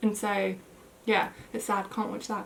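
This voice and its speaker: Noticeable background noise sits behind a woman speaking with a British accent. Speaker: plant YouTuber. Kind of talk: casual vlog chat. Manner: casual, many fillers.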